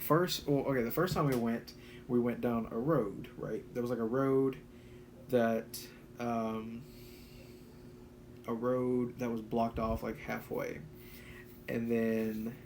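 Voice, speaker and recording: Speaking at medium pitch and a fairly slow pace, a man keeps a fairly even intonation and leaves long, frequent pauses. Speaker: YouTuber, urban explorer. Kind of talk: live stream chat. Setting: at home, live stream. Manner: halting.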